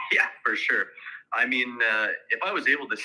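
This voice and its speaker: A man speaks with a Canadian accent. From Canada. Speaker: real estate agent. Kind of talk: sales role play.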